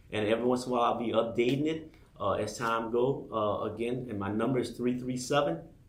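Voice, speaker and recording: A fairly quick, fairly even delivery in an American accent, with audible room echo. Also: man, medium pitch for a man. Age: 60s. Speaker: political candidate. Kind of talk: campaign appeal on radio show.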